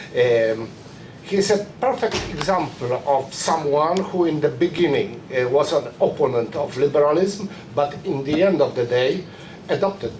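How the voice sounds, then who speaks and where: A man with a Polish accent and a fairly high pitch speaks at a moderate pace with lively intonation, amid noticeable background noise and audible room echo. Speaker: publicist, conference speaker. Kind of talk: reading aloud a prepared conference talk. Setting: conference room with audience. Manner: halting, many fillers.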